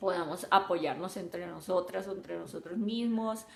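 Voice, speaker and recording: Speaking with a Colombian coastal accent, a woman keeps a medium pitch, fairly even intonation and a moderate pace. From Colombia, Caribbean coast. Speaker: software developer and mentor. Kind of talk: live stream talk.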